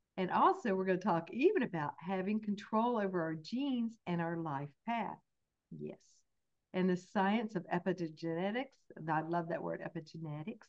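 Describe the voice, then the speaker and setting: With a Southern US accent, a woman speaks in a warm, enthusiastic tone at medium pitch, moderate pace and ordinary pitch variation. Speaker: host introducing a guest.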